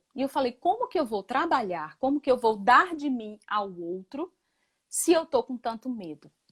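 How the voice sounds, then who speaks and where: At a fairly slow pace, a woman speaks with a high pitch and very wide pitch swings, the sound dry and close with no echo. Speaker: spiritual facilitator and physician. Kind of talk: talk on spirituality.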